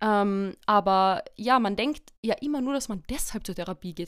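A woman's ordinary speaking voice at a moderate pace with lively intonation, on a very clean recording with a silent background. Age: 20s. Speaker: psychology graduate and family support worker. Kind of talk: interview on psychology topic.

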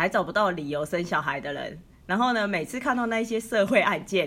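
Using a normal speaking voice, a woman talks at a moderate pace and medium pitch with lively intonation. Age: 30s. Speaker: podcast co-host. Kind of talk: casual chat.

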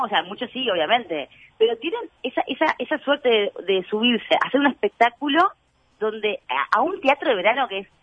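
The voice moves at a moderate pace through very wide pitch swings. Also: woman. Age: 30s. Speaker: actress and comedian. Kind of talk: casual interview chat.

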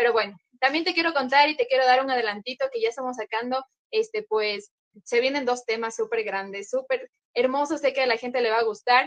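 Fairly quick, lively intonation from a woman, high in pitch. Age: 20s. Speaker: cumbia group singer. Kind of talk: casual interview chat.

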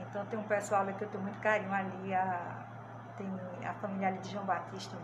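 A woman of medium pitch at a moderate pace, with audible room echo and noticeable background noise. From Pernambuco, Brazil (Arcoverde). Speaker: teacher and education trainer. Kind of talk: interview.

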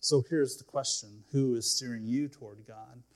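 A somewhat breathy man at a moderate pace. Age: 40s. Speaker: pastor. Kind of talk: sermon. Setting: church. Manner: halting.

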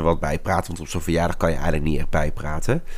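This man's speech is very fast. The intonation remains fairly even. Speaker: podcaster and teacher. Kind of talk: casual solo podcast.

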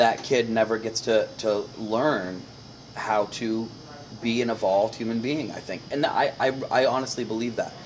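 This man talks at a moderate pace and medium pitch, with fairly even intonation. Noticeable background noise runs under his voice. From United States. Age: 40s. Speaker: comedian and homesteader. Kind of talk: casual chat.

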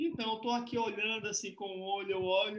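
Speaking at a fairly quick pace, a man has a high-pitched voice. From Fortaleza, Ceará, Brazil. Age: 40s. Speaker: researcher and community mediator. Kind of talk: online panel discussion. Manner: animated.

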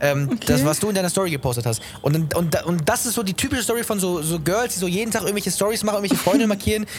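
Talking at a very fast pace with hardly any pauses, a man uses lively intonation and a high pitch against noticeable background noise. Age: young. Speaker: podcast host and musician. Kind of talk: casual chat.

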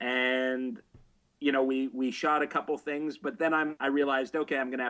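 A man with a Canadian accent and an ordinary speaking voice, medium pitch, fairly even intonation and a fairly quick pace, over a quiet background. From Canada. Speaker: adult film writer and director. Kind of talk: interview. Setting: video call.

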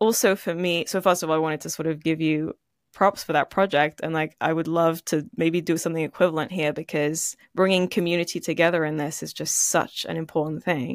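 In a normal speaking voice, a woman talks fairly quickly at a fairly low pitch with fairly even intonation and hardly any pauses, recorded very cleanly with a silent background and a dry, close sound with no echo. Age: 20s. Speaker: podcast host and musician. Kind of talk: interview conversation.

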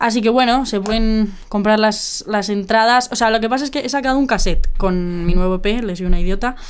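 A woman with a Madrid accent speaks at a fairly quick pace and a fairly high pitch, with ordinary pitch variation. Audible room echo surrounds her voice. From Madrid, Spain. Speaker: musician. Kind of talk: interview. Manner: casual, slangy.

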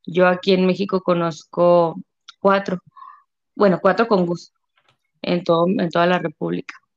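The voice is monotone and flat, moving at a fairly slow pace with long, frequent pauses, the sound dry and close with no echo. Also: woman, medium pitch for a woman. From Mexico, Delicias, Chihuahua. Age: 30s. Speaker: stay-at-home mother of a child with a rare syndrome. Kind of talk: interview testimony.

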